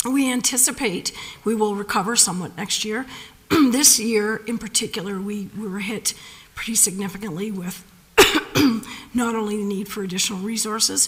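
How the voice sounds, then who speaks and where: Noticeable background noise sits behind a woman speaking at a moderate pace. Her fairly high voice breaks often into long pauses. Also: ordinary pitch variation. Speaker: county senior staff presenting to council. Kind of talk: council meeting answer.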